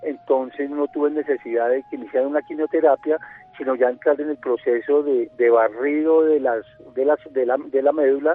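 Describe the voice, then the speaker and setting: Noticeable background noise sits under the voice. The delivery keeps a moderate pace. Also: man, fairly high pitch for a man. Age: 40s. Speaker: leukemia patient sharing his story. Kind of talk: radio interview, personal testimony. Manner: halting, many fillers and repetitions.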